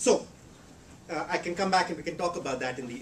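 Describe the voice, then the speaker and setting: A man with a fairly high pitch talks at a very fast pace. His pitch variation is ordinary, and audible room echo can be heard. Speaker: economist. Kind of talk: lecture. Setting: seminar room with audience. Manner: halting, many repetitions and fillers.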